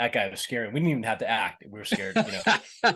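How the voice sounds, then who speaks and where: With a slight Boston accent, a man talks very fast in a bright, sharp tone. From Boston, US. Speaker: actor. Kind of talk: interview. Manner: halting, many repetitions.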